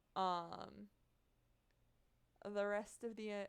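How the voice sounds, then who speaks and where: A woman at medium pitch, very slow, with fairly even intonation. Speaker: streamer. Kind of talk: casual chat. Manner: halting, many fillers.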